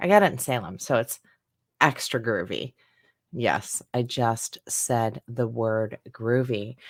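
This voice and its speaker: Her pitch very deep and low, a woman speaks very slowly in an upbeat tone with lively intonation, the sound dry and close with no echo. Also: very clean recording, silent background. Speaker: ghost story reader. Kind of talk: casual livestream talk.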